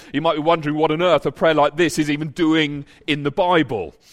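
Here a man has an unremarkable speaking voice, pitched fairly high and moving at a moderate pace. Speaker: preacher. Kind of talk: sermon; fervent prayer in a sermon. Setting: church. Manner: earnest, pleading, heartfelt; measured, sincere.

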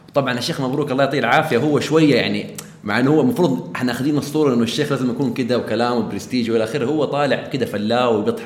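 A man at a very fast pace with hardly any pauses, ordinary pitch variation, audible room echo, and noticeable background noise. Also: medium pitch for a man. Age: 20s. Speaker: podcast host. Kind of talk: casual chat.

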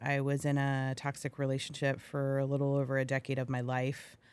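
A woman's voice sits at a very deep, low pitch, captured in a very clean recording over a silent background. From US, military family (Hawaii, California, Idaho), teens in Iowa. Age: 40s. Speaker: podcaster and public speaker. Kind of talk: casual interview chat. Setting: recording studio.

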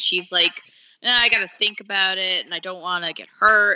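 A woman talks at a fairly quick pace and a medium pitch. It is a plain, everyday voice. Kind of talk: casual chat.

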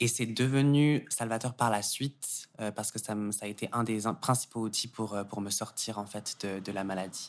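A man speaks in an ordinary speaking voice with a fairly low pitch and fairly even intonation, on a very clean recording with a silent background. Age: 20s. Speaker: yoga teacher and gender studies student. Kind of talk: casual interview.

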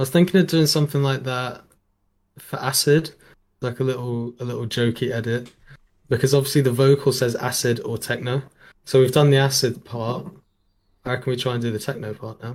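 A man with a medium-pitched, somewhat breathy voice talks at a fairly quick pace with fairly even intonation and long, frequent pauses. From Jersey, Channel Islands. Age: young. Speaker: music producer. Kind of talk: casual chat. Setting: studio.

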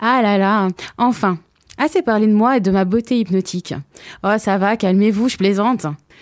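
Long, frequent pauses break up a woman's speech at a moderate pace. Her pitch is medium, with ordinary variation. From Hauts-de-Seine, Paris region. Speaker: radio columnist. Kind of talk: humorous opinion column. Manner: playful.

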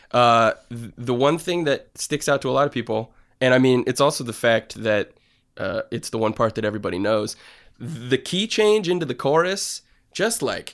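An ordinary speaking voice from a man with an American accent, fairly high pitch, lively intonation and moderate pace, in a very clean recording with a silent background. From Connecticut, US. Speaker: podcast co-host. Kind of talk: casual chat.

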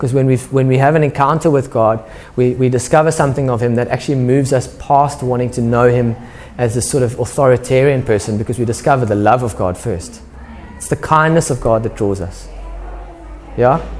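A man at medium pitch and a fairly quick pace, with ordinary pitch variation, audible room echo and music in the background. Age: 30s. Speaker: pastor. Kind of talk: sermon. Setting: church. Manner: casual, conversational.

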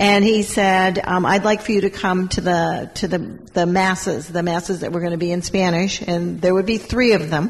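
Noticeable background noise sits behind a woman speaking. She talks at a moderate pace with fairly even intonation. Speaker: mayor. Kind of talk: panel discussion.

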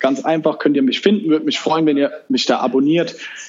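A man is talking, and noticeable background noise can be heard along with him. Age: 20s. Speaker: entrepreneur. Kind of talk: interview. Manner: casual.

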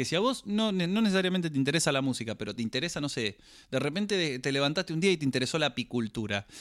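His pace is very fast and his pitch swings very widely, sitting fairly high for a man. The recording is very clean with a silent background. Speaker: podcast co-host. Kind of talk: casual chat.

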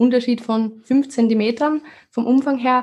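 A woman at a fairly high pitch and moderate pace, on a very clean recording with a silent background. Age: 20s. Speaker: fitness coach. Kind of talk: casual chat.

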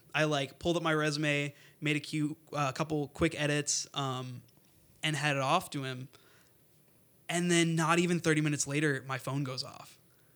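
In a very clean recording with a silent background, someone with an American accent speaks at a moderate pace with monotone, flat intonation. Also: man, fairly high pitch for a man. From US Midwest, northwest Indiana. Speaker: engineering student. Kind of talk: interview. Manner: hesitant, many fillers.

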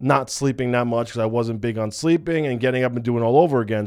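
On a very clean recording with a silent background, a man with an American accent uses a plain, everyday voice at medium pitch with fairly even intonation. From New York / New Jersey area. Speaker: bodybuilder and coach. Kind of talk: personal testimony vlog. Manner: casual, many fillers.

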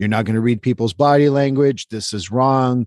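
With a Quebec accent, a man talks at a moderate pace against a quiet background, the sound dry and close with no echo. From Quebec, Montreal. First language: French. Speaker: therapist. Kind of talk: interview conversation. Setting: remote call.

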